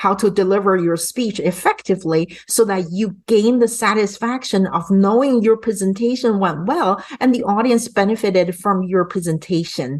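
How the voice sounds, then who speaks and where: Someone with a non-native accent speaks at a moderate pace with ordinary pitch variation and hardly any pauses. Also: woman, medium pitch for a woman. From immigrant to an English-speaking country. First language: not English. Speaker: English and public speaking coach. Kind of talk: sales pitch.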